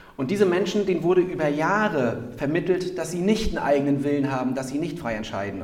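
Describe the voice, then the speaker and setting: A man talks very fast with a fairly high pitch, lively intonation and an animated tone, amid audible room echo and noticeable background noise. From Rostock, northern Germany. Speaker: podcast host, inclusion advocate. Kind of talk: casual interview chat. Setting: town hall.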